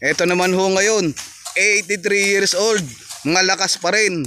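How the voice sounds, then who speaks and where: With music playing in the background, a man with a high pitch talks at a moderate pace and with fairly even intonation. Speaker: farmer vlogger. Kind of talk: casual talk to camera.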